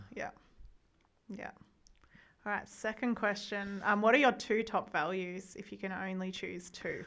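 A woman with an Australian accent, medium in pitch, fairly slow with long, frequent pauses, fairly even in intonation but with big swings in loudness. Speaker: podcast host, education and trauma institute director. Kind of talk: casual interview. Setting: studio.

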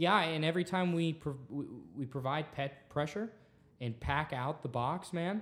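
In a very clean recording with a silent background, a man with an American accent and a plain, everyday voice speaks at a moderate pace, with a fairly high pitch and ordinary pitch variation. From Texas. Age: 20s. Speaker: student podcast host. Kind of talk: casual chat.

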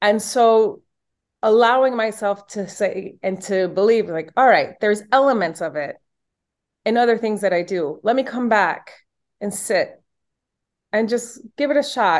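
A woman's fairly high voice in a Spanish accent, fairly slow, with ordinary pitch variation and long, frequent pauses. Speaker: yoga and meditation instructor. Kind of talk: casual interview.

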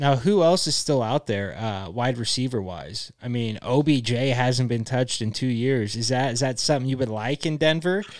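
A man talks at a moderate pace with hardly any pauses, medium pitch and ordinary pitch variation. It is an unremarkable speaking voice on a very clean recording with a silent background. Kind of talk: casual chat.

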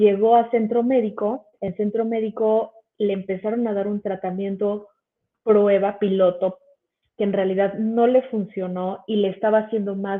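A woman's monotone, flat intonation at a fairly slow pace. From Mexico City. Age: 30s. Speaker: biochemist and cannabis educator. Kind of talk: educational livestream presentation. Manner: casual, filler-heavy.

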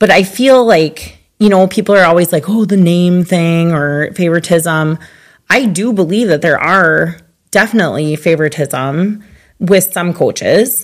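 In a very clean recording with a silent background, a woman speaks with fairly low pitch. Her pace is fairly slow and her pitch varies in an ordinary way. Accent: Upper Midwest. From southwestern Minnesota. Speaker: podcast host. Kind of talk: casual chat.

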